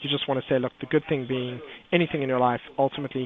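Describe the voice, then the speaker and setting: This man talks at a very fast pace with fairly even intonation. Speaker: trading educator. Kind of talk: webinar market commentary.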